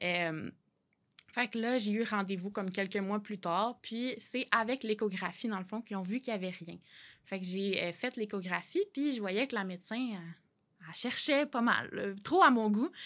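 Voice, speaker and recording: On a very clean recording with a silent background, a woman with a fairly high pitch and a plain, everyday voice speaks fairly slowly, with ordinary pitch variation. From Quebec, L'Assomption. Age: 20s. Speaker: graphic designer and author. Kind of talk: personal testimony interview.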